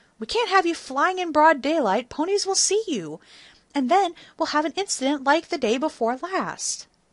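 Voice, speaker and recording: In a squeaky, put-on character voice that sounds female, the speaker talks at a high pitch and a moderate pace. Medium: read story. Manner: authoritative.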